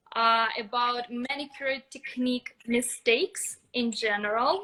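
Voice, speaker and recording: With a Russian accent, a woman speaks at a fairly slow pace in a high pitch, with a bright, sharp tone and ordinary pitch variation. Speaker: nail technician educator. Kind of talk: live stream expert talk.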